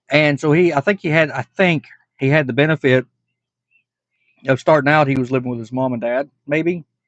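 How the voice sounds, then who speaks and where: Recorded with a dry, close sound and no echo, a man with an American accent and fairly high pitch talks at a fairly quick pace with ordinary pitch variation, broken by long, frequent pauses. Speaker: reaction video creator. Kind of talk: casual reaction commentary.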